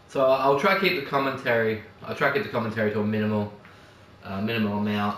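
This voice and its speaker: A man speaks with music playing in the background. There is audible room echo. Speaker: gaming youtuber. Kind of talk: gameplay commentary.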